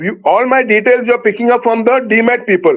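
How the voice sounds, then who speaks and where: The speech moves at a medium pace, and its intonation stays mostly level. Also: man. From India, Maharashtra. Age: 70s. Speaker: shareholder. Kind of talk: shareholder question at virtual meeting. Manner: halting.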